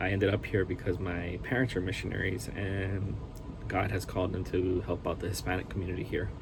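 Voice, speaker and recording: Speaking fairly quickly, a man uses a very deep, low voice with ordinary pitch variation. The recording has audible room echo and noticeable background noise. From Hawaii (Honolulu area), raised by Costa Rican family. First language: Spanish. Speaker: anesthesiologist assistant and seminary student. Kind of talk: self-introduction video. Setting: at workplace. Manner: casual, with hesitations.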